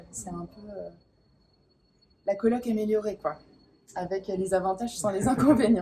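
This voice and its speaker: The speaker goes at a fairly slow pace with ordinary pitch variation and long, frequent pauses. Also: woman, medium pitch for a woman, big swings in loudness. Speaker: spiritual coach. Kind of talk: interview answer. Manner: hesitant, enthusiastic.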